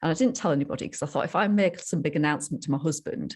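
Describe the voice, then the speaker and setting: A woman with a Yorkshire accent, very deep and low in pitch, with vocal fry and ordinary pitch variation, in a very clean recording against a silent background. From northern England, Yorkshire. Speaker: sobriety coach. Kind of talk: interview storytelling. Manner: animated.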